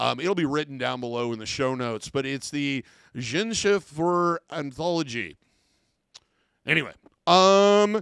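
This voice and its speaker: With an American accent, a man speaks at a fairly high pitch and a fairly slow pace with lively intonation and long, frequent pauses, in a dry sound with no echo and a quiet background. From US Midwest. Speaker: professional body piercer. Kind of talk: tutorial. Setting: studio. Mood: relaxed, mildly jokey. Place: office. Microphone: studio mic.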